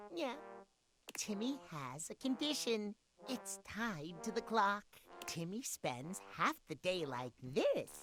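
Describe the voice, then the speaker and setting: A put-on character voice sounds female, pitched in the middle range. It moves at a fairly slow pace with very wide pitch swings. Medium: game stream. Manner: refers to himself in third person.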